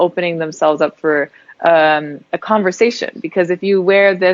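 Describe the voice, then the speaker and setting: This woman has an unremarkable speaking voice with an American accent, pitched fairly low. She keeps a moderate pace and fairly even intonation. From Germany. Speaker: entrepreneur, movement founder. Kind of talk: interview.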